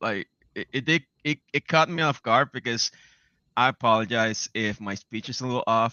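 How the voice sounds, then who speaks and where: A man with a non-native accent, medium in pitch, ordinary pitch variation, moderate pace. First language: not English. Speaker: game developer and industry analyst. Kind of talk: podcast interview. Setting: live stream.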